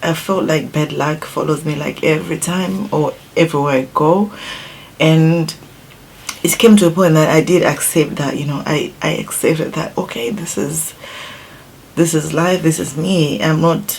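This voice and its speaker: A woman with a Zimbabwean accent talks at a moderate pace, her pitch very deep and low. Her pitch varies in an ordinary way, with light background noise behind her. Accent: Zimbabwean, non-native English. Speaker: beauty YouTuber. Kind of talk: casual vlog talk to viewers; casual vlog chat.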